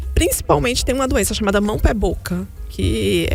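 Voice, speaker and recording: A woman speaks with music in the background and audible room echo. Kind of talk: live show interview.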